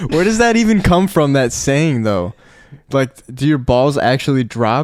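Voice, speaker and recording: A man speaks at a moderate pace with very wide pitch swings and very even loudness. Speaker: podcast host. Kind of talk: casual chat.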